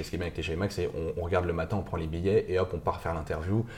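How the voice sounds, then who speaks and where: A man talks with a dark, mellow tone that is somewhat breathy. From Paris region, France (Montmorency). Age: 20s. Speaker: student entrepreneur, founder of a media startup. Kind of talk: casual interview. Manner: hesitant, many fillers.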